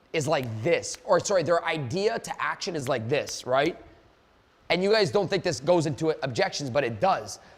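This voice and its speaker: This man's voice sits high, with lively intonation. His tone is animated. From Canada. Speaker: sales coach. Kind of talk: live online seminar. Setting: Zoom live event. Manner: fast.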